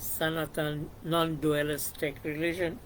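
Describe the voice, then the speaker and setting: Speaking very slowly, a man with a Bengali accent has a fairly high voice. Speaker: YouTuber discussing psychology and philosophy. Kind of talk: reflective monologue. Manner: halting, many fillers.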